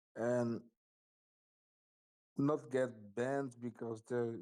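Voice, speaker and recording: Speaking at a very slow pace, a man with a non-native accent has a dark, mellow tone. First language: not English. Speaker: player. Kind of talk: Q&A question. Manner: halting.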